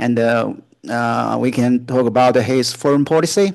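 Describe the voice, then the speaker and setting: A man's medium-pitched voice with a Chinese accent, fairly even intonation and a moderate pace. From China. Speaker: junior researcher in international relations. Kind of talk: solo talk / discussion monologue. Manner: halting, many fillers.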